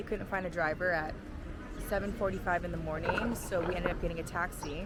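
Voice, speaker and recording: A woman talks with a fairly low pitch and ordinary pitch variation. Noticeable background noise and audible room echo are present. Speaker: travel vlogger. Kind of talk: travel vlog. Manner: casual.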